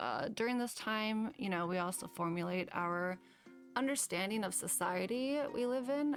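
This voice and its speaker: On a very clean recording with a silent background, a woman's intonation rises and falls in a lively way. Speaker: YouTuber. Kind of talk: casual vlog commentary. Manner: stilted, slow speech.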